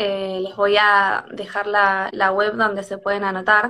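A woman with a Rioplatense accent, a bright, sharp tone and a fairly slow pace. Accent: Argentine Rioplatense Spanish. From Argentina, Tandil. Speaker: livestream host. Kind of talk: casual conversation.

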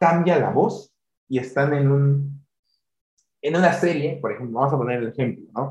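A man speaks in a somewhat breathy voice. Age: 20s. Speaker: podcast host. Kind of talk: casual interview.

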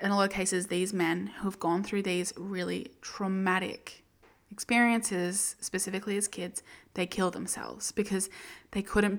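Flat, monotone intonation in an Australian accent moves at a moderate pace over a very clean recording with a silent background. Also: woman. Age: 20s. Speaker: book podcast host. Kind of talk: solo book review monologue. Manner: casual, chatty with many fillers.

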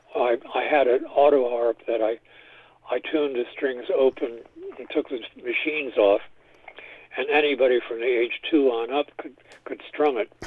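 A man with an American accent at a medium pitch, fairly even intonation and a moderate pace, with long, frequent pauses. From New York City. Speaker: composer. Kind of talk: interview.

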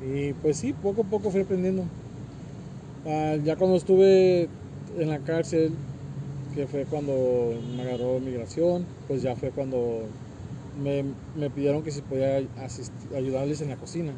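Over noticeable background noise, a man speaks at a fairly slow pace with long, frequent pauses. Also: fairly high pitch for a man, ordinary pitch variation. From US (raised there from age 3). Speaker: cook at migrant shelter, deportee. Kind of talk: interview.

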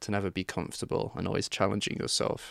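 Speaking at a fairly quick pace with an English accent, a man is heard in a dry, close sound with no echo on a very clean recording with a silent background. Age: 20s. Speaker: true crime YouTuber. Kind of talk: casual chat.

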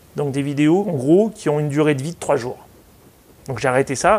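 Fairly high in pitch, this man uses ordinary pitch variation. He talks at a fairly quick pace. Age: 40s. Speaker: consultant and public speaker. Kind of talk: interview.

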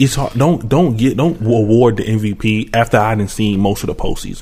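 A man speaks at a moderate pace with ordinary pitch variation. His tone is dark and mellow and somewhat breathy. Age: 20s. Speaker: podcast host. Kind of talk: casual chat.

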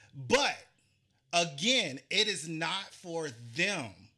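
A man is talking. His voice is raised and projected. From US South, Charleston, South Carolina. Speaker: podcast host. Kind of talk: casual interview chat.

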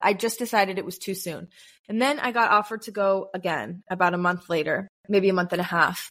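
A woman with an American accent uses a normal speaking voice at medium pitch. Her pace is fairly quick, with ordinary pitch variation, on a very clean recording with a silent background. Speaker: content creator and podcast host. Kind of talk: casual interview.

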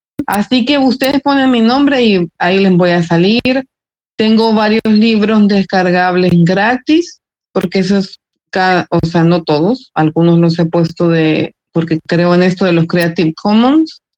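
In a plain, everyday voice, a woman speaks at medium pitch with lively intonation and very even loudness, the sound dry and close with no echo. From El Salvador. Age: 40s. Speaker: writer and journalist. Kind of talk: casual interview.

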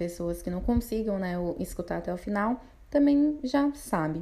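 A woman with a dark, mellow tone talks fairly slowly at a medium pitch. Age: 20s. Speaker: podcast host. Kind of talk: personal monologue podcast. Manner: casual, hesitant with fillers.

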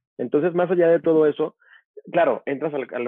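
A man talking at a very fast pace. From Mexico, Veracruz port and Tuxtepec, Oaxaca. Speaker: media professional and speaker. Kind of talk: interview conversation.

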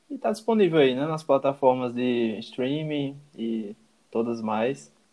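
This man has an unremarkable speaking voice at a medium pitch. He talks at a fairly slow pace with ordinary pitch variation. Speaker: podcast co-host. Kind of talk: casual chat with prepared notes.

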